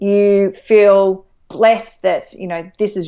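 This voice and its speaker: The background stays quiet. A woman speaks with an Australian accent. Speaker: life coach. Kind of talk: interview. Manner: animated.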